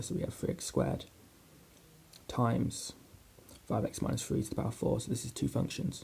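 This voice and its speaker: A soft-spoken man whispers at a moderate pace. His voice has vocal fry. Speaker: maths student doing ASMR. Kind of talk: ASMR whispered maths tutorial. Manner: soft-spoken, whispering.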